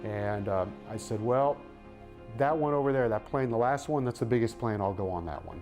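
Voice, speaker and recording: Lively intonation at a moderate pace, with music in the background. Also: man, medium pitch for a man. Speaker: radio sports broadcaster. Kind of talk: interview answer, recounting a personal story.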